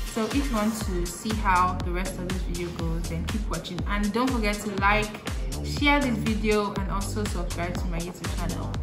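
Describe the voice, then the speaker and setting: A woman talks at a moderate pace through loud background noise. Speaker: channel host. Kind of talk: casual talk to camera, vlog. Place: home room.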